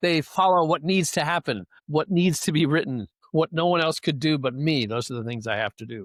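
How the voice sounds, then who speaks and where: A man with a plain, everyday voice talks fairly quickly at a fairly high pitch with lively intonation, on a very clean recording, dry and close with no echo and a silent background. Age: 60s. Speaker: philosopher and clarinetist, author. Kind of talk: casual chat.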